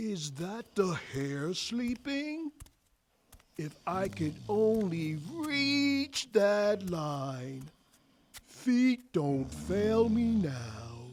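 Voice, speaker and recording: Using a put-on character voice at a middle pitch, the speaker moves very slowly with very wide pitch swings. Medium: audio drama. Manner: rhythmic rhyming delivery.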